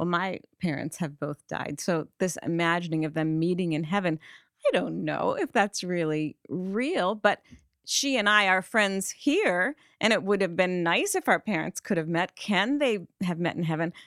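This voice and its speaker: A woman's fairly low pitch with ordinary pitch variation, on a very clean recording with a silent background and a dry, close sound with no echo. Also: moderate pace. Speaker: co-host. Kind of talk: casual conversational podcast. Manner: gentle, warm.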